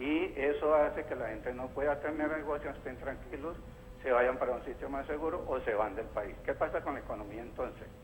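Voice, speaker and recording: A man speaks at a fairly quick pace. The room echo is audible. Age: 60s. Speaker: caller, artisan. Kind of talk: phone-in opinion on political TV show.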